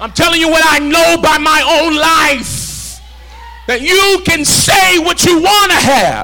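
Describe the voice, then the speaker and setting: Over noticeable background noise, a man with an extremely high pitch speaks in a raised, projected voice, animated in tone, at a fairly slow pace with ordinary pitch variation. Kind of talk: sermon. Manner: animated, call-and-response, urgent; exhorting, rhythmic, fervent.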